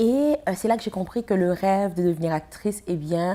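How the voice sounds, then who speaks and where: A woman speaks at a moderate pace with a Haitian accent. Her medium-pitched voice has a dark, mellow tone and lively intonation. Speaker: actress and film festival founder. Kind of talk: TV interview.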